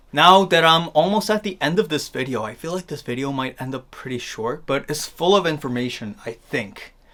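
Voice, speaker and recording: A man with a plain, everyday voice talks at a fairly quick pace and fairly high pitch. His intonation is lively, and he hardly pauses. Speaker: fashion youtuber. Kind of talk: tutorial. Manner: casual, filler-heavy.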